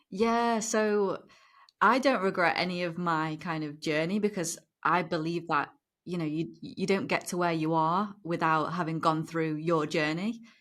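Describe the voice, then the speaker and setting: A woman with a British accent speaks at a fairly slow pace in a fairly low pitch, on a very clean recording with a silent background. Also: ordinary pitch variation. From northern England, near Liverpool. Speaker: former lawyer. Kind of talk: interview.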